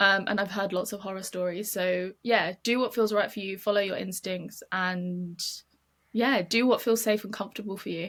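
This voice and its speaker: With fairly even intonation and a medium pitch, a woman talks at a moderate pace. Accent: British. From UK. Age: 20s. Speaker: model and charity program manager. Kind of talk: podcast interview. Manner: casual, with many fillers.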